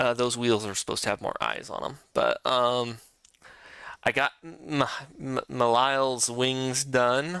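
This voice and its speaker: This soft-spoken man talks at a fairly slow pace and a medium pitch. His tone is bright and sharp, and his intonation stays fairly even. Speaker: vtuber streamer. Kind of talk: casual live stream chat. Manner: hesitant, many fillers; soft in this room.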